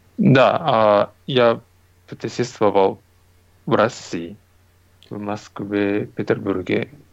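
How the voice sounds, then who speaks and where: Speaking with a Japanese accent, a man talks very slowly at a fairly low pitch with ordinary pitch variation and long, frequent pauses. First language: Japanese (speaking Russian). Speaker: comic artist. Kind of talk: interview. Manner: halting.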